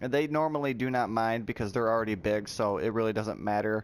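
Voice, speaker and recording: At a very fast pace, a man talks in a medium pitch, captured in a very clean recording with a silent background. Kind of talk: tutorial. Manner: loud; casual, with fillers.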